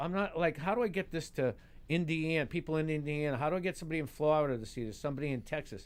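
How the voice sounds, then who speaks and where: A high-pitched man talking at a very fast pace with a Boston accent. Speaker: stand-up comedian. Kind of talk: casual talk show chat. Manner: halting, repeats words.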